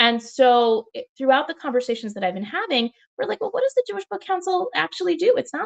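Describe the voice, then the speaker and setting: An animated woman talks very fast, and the sound is dry and close with no echo. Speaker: author. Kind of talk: panel discussion.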